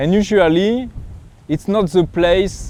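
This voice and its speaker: With a French accent, the voice shows ordinary variation in pitch. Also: man. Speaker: pilgrim vlogger and coach. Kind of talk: reflective vlog monologue. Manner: halting, searching for words.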